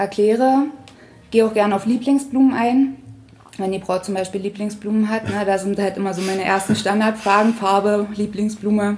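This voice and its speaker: A woman at medium pitch with fairly even intonation, speaking at a moderate pace amid noticeable background noise. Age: 30s. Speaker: florist. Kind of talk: interview. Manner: hesitant with many fillers.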